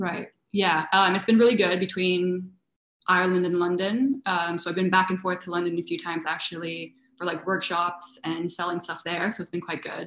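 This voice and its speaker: With a Canadian accent, a woman in an unremarkable speaking voice talks at a moderate pace, her pitch fairly low and her intonation fairly even. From Canada, suburbs of Toronto. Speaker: food business owner. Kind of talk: interview.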